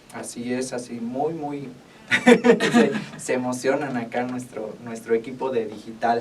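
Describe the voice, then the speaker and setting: Over noticeable background noise, a man speaks at a fairly slow pace in a medium pitch. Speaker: radio host and veterinarian. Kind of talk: casual radio chat. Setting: radio studio.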